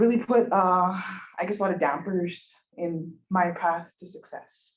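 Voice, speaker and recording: A woman at a medium pitch with a Montana accent. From Montana, Blackfeet Reservation (Browning). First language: Blackfeet. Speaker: university student. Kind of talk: public testimony at a commission meeting. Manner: hesitant, many fillers.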